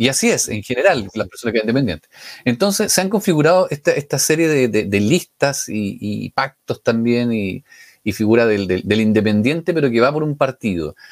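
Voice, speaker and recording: Recorded dry and close with no echo, a man at medium pitch lets his voice swing very widely up and down. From Chile, Biobío region. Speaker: radio host. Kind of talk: radio interview. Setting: virtual radio studio.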